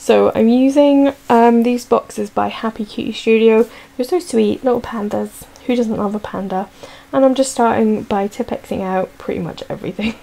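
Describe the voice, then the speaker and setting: At a moderate pace, a woman talks while noticeable background noise runs beneath. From Scotland. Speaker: planner vlogger. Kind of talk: casual voiceover narration. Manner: chatty, hesitant with fillers.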